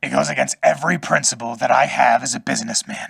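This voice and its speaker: A man's put-on character voice, sinister in tone, at a moderate pace. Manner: sinister, scheming.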